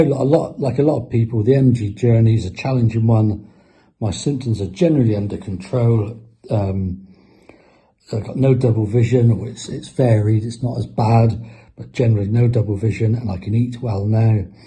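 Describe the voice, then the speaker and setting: A man talks at a moderate pace and medium pitch with ordinary pitch variation. His voice is somewhat breathy, with a dark, mellow tone. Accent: southern English. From southern England, Isle of Wight. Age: 60s. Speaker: patient. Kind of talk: testimony. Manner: halting.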